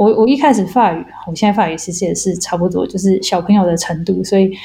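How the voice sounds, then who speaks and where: A woman's dark, mellow, somewhat breathy voice at medium pitch moves along at a fairly quick pace. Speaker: molecular biologist. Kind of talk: interview. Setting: remote call.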